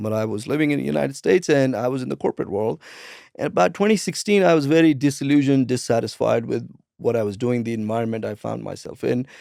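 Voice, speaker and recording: A man with a Punjabi accent speaks very fast at medium pitch, his tone dark and mellow. His intonation is lively, and the recording is very clean with a silent background. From India, Punjab. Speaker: transformation coach and speaker. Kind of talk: interview.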